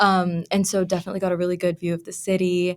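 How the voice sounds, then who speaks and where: This woman has a Pennsylvania accent and a medium pitch. She talks fairly quickly in a monotone, flat intonation. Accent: American, Pennsylvania. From moved around as a child; from middle school, Philadelphia suburbs, Pennsylvania. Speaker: university researcher. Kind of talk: casual chat.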